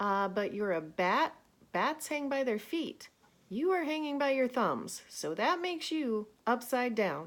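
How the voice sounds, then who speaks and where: A woman puts on a high-pitched character voice, raised and projected, at a fairly slow pace. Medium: read story.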